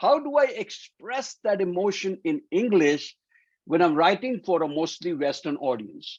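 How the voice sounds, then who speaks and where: Pitched high, a man's voice swings very widely in pitch at a fairly slow pace. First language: Hindi or Punjabi. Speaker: academic coach. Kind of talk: workshop lecture.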